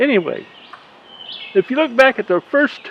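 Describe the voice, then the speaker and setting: A man with a Southern US accent speaks with very wide pitch swings. Noticeable background noise runs under his voice. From US South. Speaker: beekeeper. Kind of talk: casual video update. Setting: outdoors. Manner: halting.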